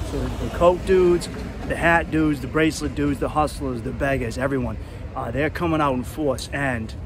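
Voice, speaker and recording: A man with an American accent talks at a fairly quick pace. Noticeable background noise and audible room echo come through. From Boston area, US. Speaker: travel vlogger. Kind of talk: casual vlog narration.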